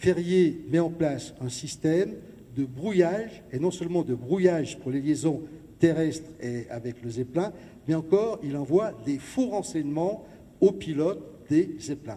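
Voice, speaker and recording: This man has a fairly high pitch, a dark, mellow tone, and lively intonation. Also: fairly slow pace. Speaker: lecturer and local historian. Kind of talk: lecture. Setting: gymnasium with audience.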